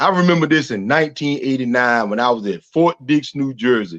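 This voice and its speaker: Speaking at a moderate pace in a Southern US accent, a man sounds dry and close, with no echo. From US South. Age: 50s. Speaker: retired army sergeant major. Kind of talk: interview.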